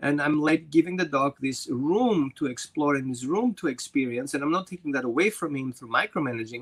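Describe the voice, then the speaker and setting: With a non-native accent and a fairly high pitch, a man talks at a fairly quick pace with hardly any pauses in a dry, close sound with no echo. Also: ordinary pitch variation. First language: not English. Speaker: dog trainer. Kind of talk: interview.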